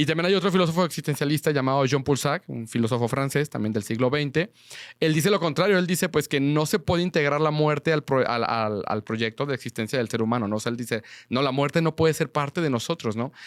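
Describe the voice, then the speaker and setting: A man's fairly high voice at a very fast pace, with ordinary pitch variation, in a very clean recording with a silent background and a dry, close sound with no echo. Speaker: seminarian and podcast host. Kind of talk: conversational podcast discussion. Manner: halting, many fillers and repetitions.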